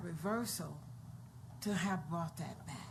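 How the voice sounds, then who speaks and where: In a Virginia accent, a woman talks with vocal fry and ordinary pitch variation, and the room echo is audible. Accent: Virginia Southern American. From Hopewell, Virginia, US South. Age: 60s. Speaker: city council member. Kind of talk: council meeting discussion.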